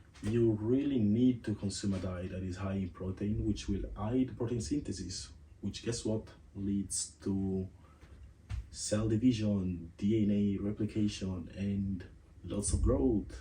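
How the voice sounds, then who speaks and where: Speaking slowly-ish at a fairly slow pace, a man with a non-native accent has a dark, mellow, somewhat breathy tone, a fairly low pitch and ordinary pitch variation. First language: not English. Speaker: podcast host. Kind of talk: casual monologue. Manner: casual, conversational.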